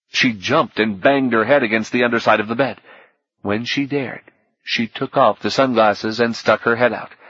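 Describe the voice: Someone reads aloud plainly. Little or no sound comes from behind, keeping the background quiet.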